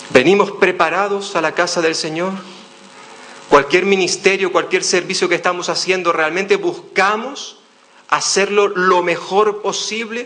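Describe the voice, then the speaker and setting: In a Canarian accent, a man speaks in a raised, projected voice at a high pitch with fairly even intonation and a fairly slow pace, with noticeable background noise and audible room echo. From Canary Islands, Spain. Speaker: pastor. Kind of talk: sermon. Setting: church.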